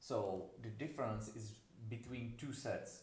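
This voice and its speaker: A man's medium-pitched speech carries audible room echo. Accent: non-native. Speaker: university lecturer. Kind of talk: lecture. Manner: halting.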